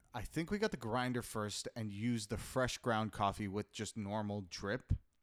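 An ordinary speaking voice from a man at fairly low pitch moves at a fairly slow pace with fairly even intonation, recorded very cleanly against a silent background in a dry, close sound with no echo. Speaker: podcast co-host. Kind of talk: casual chat. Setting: home studio recording. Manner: joking, playful.

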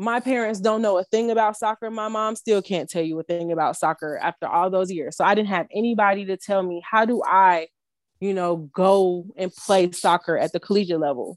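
In a normal speaking voice, a woman with an American accent talks at a fairly quick pace, medium pitch and ordinary pitch variation. The sound is dry and close with no echo, a very clean recording with a silent background. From Chicago, South Side. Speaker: nonprofit founder. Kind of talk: casual chat.

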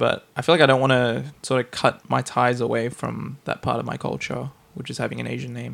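A man with an Australian accent speaks fairly quickly, with big swings in loudness. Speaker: podcast host. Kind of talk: casual chat.

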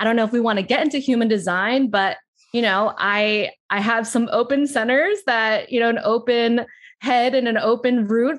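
A woman's fairly high voice with an American accent, over a quiet background. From US Northeast, South Jersey near Philadelphia. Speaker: astrologer and life coach. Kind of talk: casual interview chat. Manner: animated, laughing.

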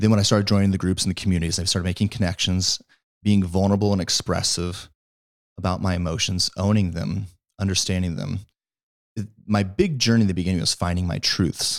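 In a very clean recording with a silent background, a man with an American accent talks at a very fast pace, his very deep, low pitch carrying fairly even intonation. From Missouri. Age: 30s. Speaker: fitness coach and content creator. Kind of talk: casual interview. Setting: in person at host's home.

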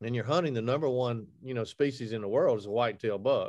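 In an Alabama accent, a man speaks at a medium pitch with lively intonation against a quiet background. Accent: Southern US (Alabama). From Alabama, US South. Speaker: hunting TV host and outdoor media founder. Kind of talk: casual interview chat.

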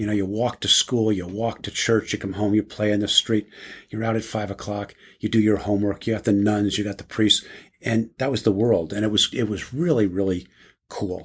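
In a very clean recording with a silent background, a man speaks in a somewhat breathy voice with fairly even intonation. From New Jersey, US. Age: 60s. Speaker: business executive and board member. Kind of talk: casual interview.

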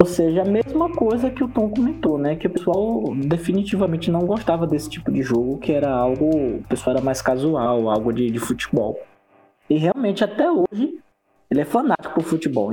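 A man at a moderate pace, his voice making very wide pitch swings at very even loudness. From Northeast Brazil. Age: 30s. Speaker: gaming podcast guest. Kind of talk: casual chat.

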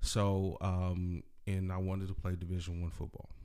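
In an American accent, a man speaks with a very deep, low pitch. He keeps a fairly slow pace. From California, Salinas area. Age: 40s. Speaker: author, entrepreneur and football coach. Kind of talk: casual interview. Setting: podcast recording.

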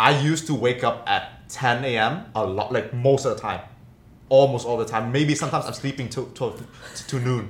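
Pitch shifts in an ordinary way at a moderate speed. There is a somewhat breathy quality to the voice. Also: man, medium pitch for a man. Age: 20s. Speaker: podcast co-host. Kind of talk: casual chat.

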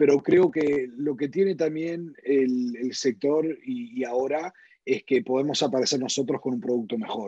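A man speaks at a fairly slow pace in a dark, mellow tone. His pitch is fairly high, with ordinary variation. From US, northern New Jersey, Uruguayan parents. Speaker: insurance company CEO. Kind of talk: interview conversation.

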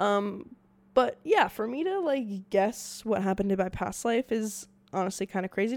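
Here a woman has an unremarkable speaking voice at a fairly high pitch. Her pace is moderate and her intonation lively. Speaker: podcast host. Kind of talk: casual solo monologue. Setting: home recording setup, video. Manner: rambling, many fillers.

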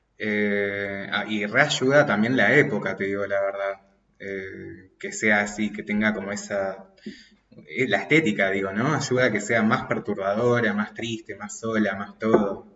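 A man speaks in an ordinary speaking voice, fairly low in pitch, at a fairly slow pace with fairly even intonation. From Argentina, Mendoza. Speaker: podcast guest, friend of host. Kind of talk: casual chat.

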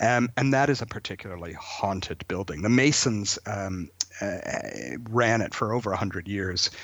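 The speaker talks with a Canadian accent and ordinary pitch variation. Noticeable background noise runs underneath. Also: man, moderate pace. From southern Ontario, Canada (Brantford). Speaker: folklorist and storyteller. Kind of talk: radio interview. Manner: hesitant, many fillers and repeated words.

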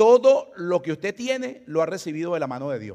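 The intonation is lively as a man speaks. The recording is very clean, with a silent background. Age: 60s. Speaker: pastor. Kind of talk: sermon. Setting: church. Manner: fast.

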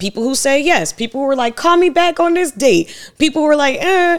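A woman with an American accent on a very clean recording, the background silent. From US South, Savannah, Georgia. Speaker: entrepreneur, startup founder. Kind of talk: casual interview chat.

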